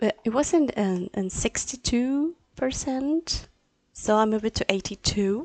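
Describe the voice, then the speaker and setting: A soft-spoken woman talks at a fairly slow pace. Her fairly high pitch moves with lively intonation. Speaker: language teacher. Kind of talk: live stream class. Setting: live stream. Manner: halting. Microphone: low volume, audio problems.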